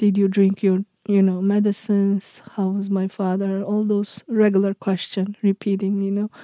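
A woman with a Uyghur accent, medium pitch and a dark, mellow tone, at a moderate pace with hardly any pauses, in a monotone, flat delivery, the sound dry and close without echo. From Uyghur region, western China. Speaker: journalist and memoir author. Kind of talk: interview. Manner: halting, non-native phrasing.

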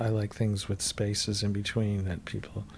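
With an American accent, a man speaks at a fairly low pitch. His voice is somewhat breathy and his pace fairly slow. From US Midwest. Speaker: rock musician. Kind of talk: interview. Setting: in the host's home.

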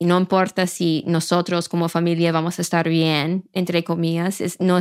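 Speaking fairly slowly with an English accent, a woman has a fairly low pitch and monotone, flat intonation. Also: very clean recording, silent background. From rural Maine, US. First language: English (speaking Spanish). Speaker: journalist. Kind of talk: interview.

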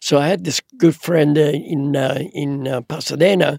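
The sound is dry and close, without any echo. A man talks at a fairly slow pace. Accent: Italian. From Italy. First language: Italian. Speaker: photographer. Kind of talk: casual chat. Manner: halting.

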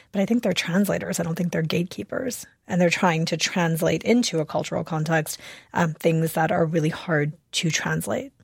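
With an American accent and vocal fry, a woman speaks at a fairly low pitch with lively intonation. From US Midwest, Chicago suburbs. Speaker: author. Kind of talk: radio interview. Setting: remote studio.

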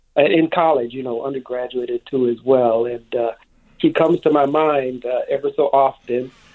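A man with an American accent speaks at a moderate pace in a normal speaking voice, his medium pitch following a fairly even intonation. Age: 60s. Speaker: radio caller. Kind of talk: phone-in call. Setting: phone call.

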